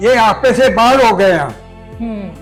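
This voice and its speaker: A man's high voice with fairly even intonation over music in the background. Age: 80s+. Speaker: freedom movement activist. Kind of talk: interview answer.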